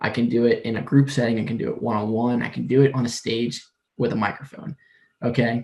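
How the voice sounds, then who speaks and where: With a somewhat breathy quality, a man's voice sits at a medium pitch. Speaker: admissions counselor, workshop presenter. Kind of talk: lecture. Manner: fast; words run together.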